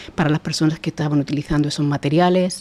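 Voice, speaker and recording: Speaking in a Murcian accent, a woman has a very deep, low pitch, a dark, mellow tone and fairly even intonation. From Spain, Murcia. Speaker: sustainability director. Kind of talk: podcast interview.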